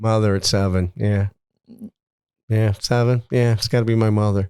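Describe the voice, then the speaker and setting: A man with an American accent speaks in an unremarkable speaking voice at a fairly low pitch, on a very clean recording with a silent background. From Niagara Falls, New York, US. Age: 60s. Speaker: retired businessman. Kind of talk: interview. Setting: studio.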